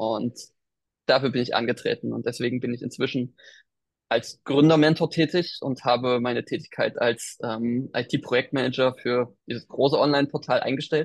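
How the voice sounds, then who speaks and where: The background is quiet. A man speaks at a moderate pace and a medium pitch. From Thuringia, eastern Germany. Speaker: business mentor, digital nomad. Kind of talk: interview. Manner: animated.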